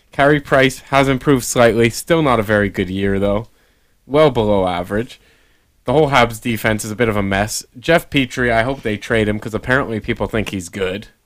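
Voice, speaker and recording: With a plain, everyday voice, a man speaks at a fairly quick pace. His pitch is medium, with ordinary variation. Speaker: sports podcast co-host. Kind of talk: casual banter.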